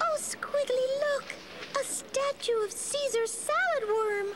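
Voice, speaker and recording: A woman's squeaky, put-on character voice at an extremely high pitch, with a fairly slow pace. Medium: read story. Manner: sweet, polite.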